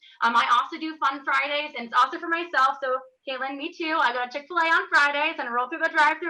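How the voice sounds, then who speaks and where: A woman speaks at a very fast pace in a raised, projected voice with high pitch and a bright, sharp tone. Her intonation is fairly even, but her loudness swings widely. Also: hardly any pauses. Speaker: fifth grade teacher. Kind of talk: panel presentation.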